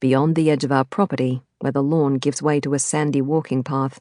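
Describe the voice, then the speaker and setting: Over a quiet background, a woman talks at a fairly quick pace in a very deep, low pitch with a dark, mellow tone. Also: dry, close sound with no echo. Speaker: audiobook narrator. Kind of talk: audiobook narration of a thriller novel.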